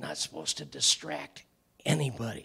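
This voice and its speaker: Whispering in a raspy, put-on character voice, a man speaks at a moderate pace. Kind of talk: lecture. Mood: jovial, animated.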